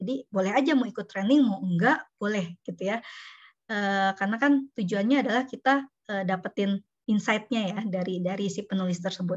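At a fairly quick pace, a woman speaks in a somewhat breathy voice with ordinary pitch variation against a quiet background. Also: medium pitch for a woman. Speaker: university lecturer and researcher. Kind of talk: online lecture. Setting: video call.

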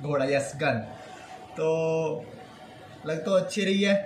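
Against noticeable background noise, a man speaks in a high pitch with fairly even intonation. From Nepal. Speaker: YouTube reaction vlogger. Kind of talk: casual talk to camera. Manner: joking, playful. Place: home room. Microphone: phone near.

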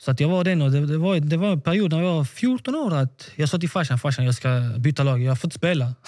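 Against a quiet background, a man speaks at a fairly quick pace with hardly any pauses, his fairly high voice carrying a dark, mellow tone and lively intonation. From Sweden, Malmö; Sweden. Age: 20s. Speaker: professional footballer; podcast guest. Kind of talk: interview. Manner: halting, repeats words. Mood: animated, candid, at times defiant. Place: home room. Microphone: studio mic.

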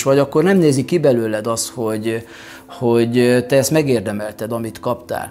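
Speech comes at a fairly quick pace. The pitch varies an ordinary amount. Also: man. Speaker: vlogger, speaker. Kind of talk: reflective vlog monologue. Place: studio.

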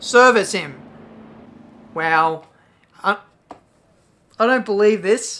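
An Australian accent comes through in a bright, sharp tone with ordinary pitch variation. The pace is fairly slow. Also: woman. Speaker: gaming YouTuber. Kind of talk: gameplay commentary. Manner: animated.

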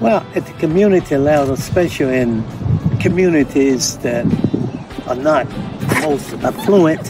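Over loud background noise, a man speaks at a fairly slow pace in a dry sound with no echo. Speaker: amateur tennis player. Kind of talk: interview answer. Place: stadium.

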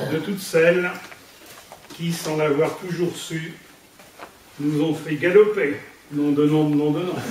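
A man with a fairly high pitch speaks at a very slow pace, with long, frequent pauses, fairly even intonation, audible room echo and light background noise. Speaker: amateur poet. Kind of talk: poetry reading. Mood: warm, humorous. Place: hall. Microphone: camera far.

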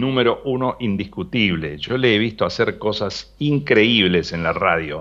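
A man in a Rioplatense accent, fairly low in pitch, with lively intonation at a moderate pace against a quiet background. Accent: Argentine Rioplatense Spanish. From Buenos Aires province, Argentina (small town). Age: 60s. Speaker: retired radio announcer and journalist. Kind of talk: interview. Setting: phone call.

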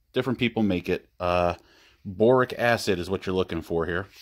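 A male speaker keeps a moderate pace, and the background is quiet. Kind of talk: tutorial. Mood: joking, relaxed. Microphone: phone near.

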